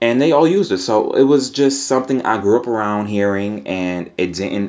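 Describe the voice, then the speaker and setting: With a plain, everyday voice, a man speaks fairly low in pitch using lively intonation. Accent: American. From New York. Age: 20s. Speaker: podcaster. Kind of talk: casual monologue.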